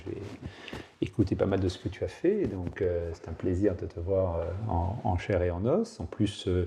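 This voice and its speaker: There is noticeable background noise. Over it, a man talks very slowly. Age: 60s. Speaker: anonymous podcast guest. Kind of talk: interview conversation. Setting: at home facing the sea. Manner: hesitant, many filler sounds.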